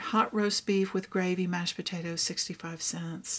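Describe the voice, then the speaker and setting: A woman speaks with a Texas accent. Her pitch sits in the medium range. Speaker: craft vlogger. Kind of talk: casual show-and-tell. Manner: animated.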